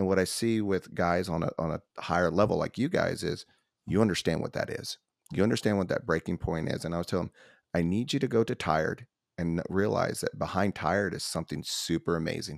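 Very deep and low in pitch, a man speaks with an American accent. The recording is very clean with a silent background, and the sound is dry and close with no echo. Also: ordinary pitch variation, fairly quick pace. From US South, Nashville, Tennessee. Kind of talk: casual interview.

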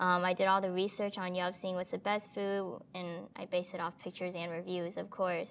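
A woman with an American accent talks at medium pitch in a monotone, flat way with hardly any pauses. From Texas, Houston. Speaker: food blogger. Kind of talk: interview.

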